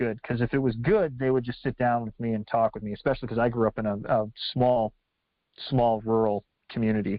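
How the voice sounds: A man speaks at a fairly quick pace with little pitch movement, in a dry, close sound with no echo.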